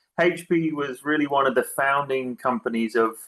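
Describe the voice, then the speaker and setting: At a moderate pace, a man speaks at medium pitch with ordinary pitch variation. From UK. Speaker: tech executive, speaker. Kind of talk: presentation talk.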